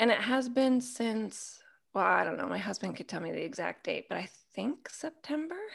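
Vocal fry runs through this woman's fairly high voice. Her intonation is lively. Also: moderate pace. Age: 40s. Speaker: women's ministry mentor. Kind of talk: casual chat. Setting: video call.

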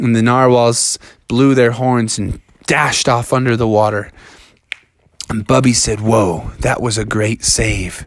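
A man talks in a playful, animated tone at medium pitch. His pace is fairly slow. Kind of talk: fairy-tale narration. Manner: animated storyteller; playful, voicing characters.

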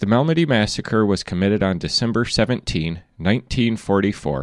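A man with an ordinary speaking voice, fairly low pitch and lively intonation, over a quiet background. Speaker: interviewer and narrator. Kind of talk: scripted narration intro and outro. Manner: formal, clear.

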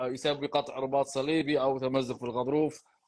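A man talks at a moderate pace in a monotone, flat intonation. The background is quiet. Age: 40s. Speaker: physiotherapist and podcast host. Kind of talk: live Q&A. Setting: live stream.

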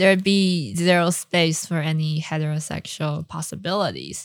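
With a Mandarin accent, a woman speaks at a fairly slow pace in a fairly low pitch. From Taiwan, raised partly in California. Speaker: actress. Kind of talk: casual chat. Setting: studio. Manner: giggly, laughs often.

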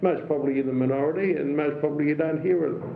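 Fairly quick speech from a man at a fairly high pitch, ordinary pitch variation, with audible room echo. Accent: Australian. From Melbourne, Australia. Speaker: retired police detective. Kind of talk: interview. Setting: home living room.

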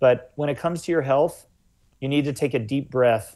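The background is quiet as a man speaks in a plain, everyday voice. He keeps a moderate pace and fairly even intonation. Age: 40s. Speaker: health author. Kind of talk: interview.

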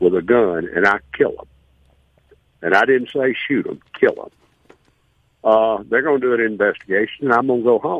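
A man speaks with a Southern US accent. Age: 70s. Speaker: caller. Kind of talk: call-in radio. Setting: phone call.

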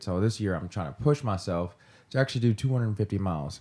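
A very clean recording with a silent background and a Kentucky accent. The pace is very fast, and the pitch varies in an ordinary way. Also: man. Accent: Southern US (Kentucky). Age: 30s. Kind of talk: casual chat.

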